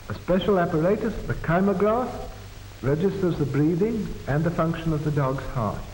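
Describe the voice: Speaking at a moderate pace, a man with a fairly high pitch and slightly mellow tone uses ordinary pitch variation, with audible room echo.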